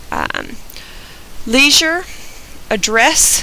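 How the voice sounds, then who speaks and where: A woman with an American accent speaks at a very slow pace. Noticeable background noise can be heard. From US South, Georgia. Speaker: vlogger. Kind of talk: reading word list and casual commentary.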